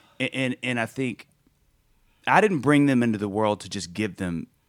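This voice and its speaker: The recording is very clean with a silent background. A man speaks at a moderate pace with ordinary pitch variation. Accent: Southern US. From US South, Mississippi. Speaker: singer-songwriter. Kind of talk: casual chat. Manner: animated.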